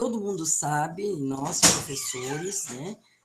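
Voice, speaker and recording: The speaker is soft-spoken and talks at a fairly slow pace. Noticeable background noise can be heard. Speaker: guest speaker on racism. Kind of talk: talk at school web conference.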